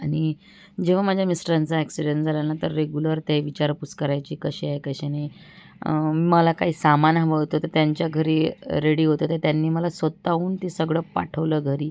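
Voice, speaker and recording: A woman speaks with a very deep, low pitch. Her intonation stays monotone and flat against a quiet background. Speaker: vlogger. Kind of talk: casual vlog chat. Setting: at home.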